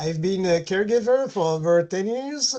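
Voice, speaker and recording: Moderate pace in a Quebec accent over a quiet background. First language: French. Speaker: caregiver. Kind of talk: webinar presentation.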